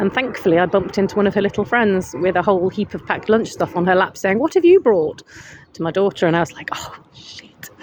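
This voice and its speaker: A woman with a British accent and a medium pitch talks at a very fast pace with ordinary pitch variation over noticeable background noise. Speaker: counsellor vlogger. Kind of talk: casual vlog monologue. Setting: outdoors in a hammock.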